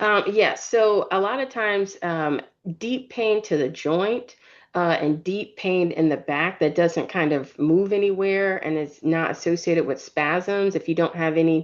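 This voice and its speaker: A woman's fairly low pitch at a fairly slow pace, a normal speaking voice with ordinary pitch variation. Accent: American. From Virginia, US. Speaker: neurologist. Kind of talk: Q&A expert answers.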